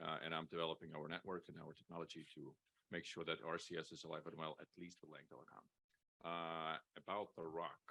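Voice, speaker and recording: A man with a non-native accent speaks at a very deep, low pitch. His tone is bright and sharp, but his intonation is monotone and flat. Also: fairly quick pace, dry, close sound with no echo. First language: not English. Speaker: telecom business development manager. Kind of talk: panel discussion.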